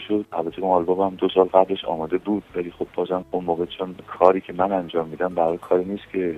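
This man's very deep, low voice stays monotone, with flat intonation. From Iran, Tehran. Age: 60s. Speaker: musician. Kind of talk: interview.

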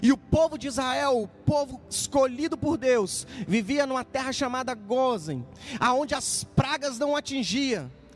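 The man's pitch is extremely high, with ordinary variation. He speaks at a fairly slow pace amid noticeable background noise. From Minas Gerais interior, Brazil. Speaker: pastor. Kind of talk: prayer; sermon.

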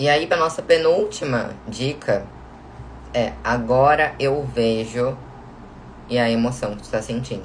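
A woman's very deep, low voice at a fairly slow pace, with ordinary pitch variation, long, frequent pauses and audible room echo. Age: 20s. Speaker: podcast host and self-knowledge coach. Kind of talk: recorded live stream talk.

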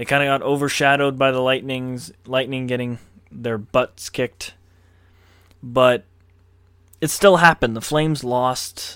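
A medium-pitched male voice with a Canadian accent, fairly even intonation, a fairly slow pace and long, frequent pauses. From Canada. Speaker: sports podcast host. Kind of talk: solo sports commentary podcast.

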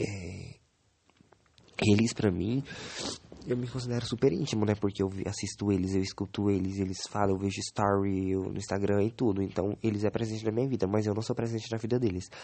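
Fairly quick and fairly even in intonation, a man speaks in a fairly low voice. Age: 20s. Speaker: podcaster. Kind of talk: solo diary podcast. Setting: bedroom. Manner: halting.

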